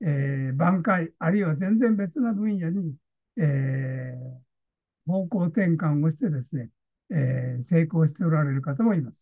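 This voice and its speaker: A man's fairly slow speech with very wide pitch swings, dry sound with no echo, and a quiet background. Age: 80s+. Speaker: consultant, online lecture host. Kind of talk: online lecture to camera. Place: home room. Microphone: webcam.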